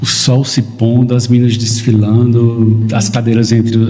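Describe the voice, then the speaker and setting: With a northeastern Brazilian accent, a man talks at medium pitch and a fairly slow pace amid noticeable background noise and audible room echo. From Northeast Brazil, interior of Paraíba. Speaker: photographer. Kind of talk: podcast interview.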